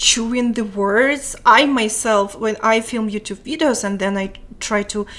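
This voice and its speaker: In a Ukrainian accent, a woman speaks at a fairly high pitch with ordinary pitch variation. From Ukraine. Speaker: live streamer. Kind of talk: casual chat. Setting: live stream. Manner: mumbling.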